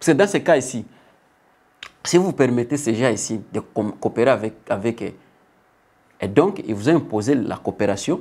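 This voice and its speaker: Pausing often and at length, a man speaks at a fairly slow pace. His pitch is medium and his intonation is lively. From DR Congo. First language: not French (speaking French). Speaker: political commentator. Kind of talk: political commentary. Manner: halting.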